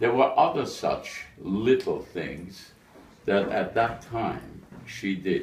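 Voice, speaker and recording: Audible room echo follows a man's somewhat breathy, medium-pitched voice as he speaks very slowly. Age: 90s. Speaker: eulogy speaker at a memorial. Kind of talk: memorial speech.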